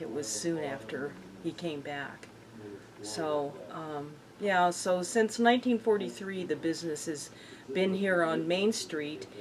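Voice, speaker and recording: Over noticeable background noise, a woman with an American accent speaks at a fairly slow pace. Her very deep, low pitch carries lively intonation. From Colorado, Windsor. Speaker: local business owner. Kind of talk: oral history interview. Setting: hardware store.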